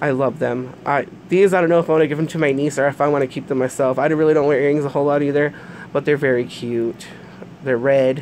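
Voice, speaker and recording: Over noticeable background noise, a woman talks at a very fast pace. Her very deep, low voice keeps a fairly even intonation. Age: 30s. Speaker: YouTuber reviewing products. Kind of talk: casual unboxing review. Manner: hesitant, many fillers.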